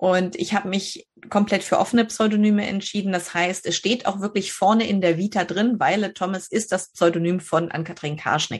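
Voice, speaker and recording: A woman speaks in a northern German accent with ordinary pitch variation. Her voice is somewhat breathy over a quiet background. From northern Germany, Schleswig-Holstein. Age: 30s. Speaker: novelist. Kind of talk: interview.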